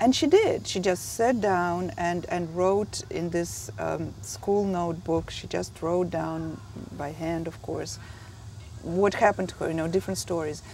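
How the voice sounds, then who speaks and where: A woman with a Russian accent speaks at a fairly slow pace. Room echo can be heard. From Russia (Soviet Union). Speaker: memoir author. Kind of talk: interview. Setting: writers conference. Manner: halting.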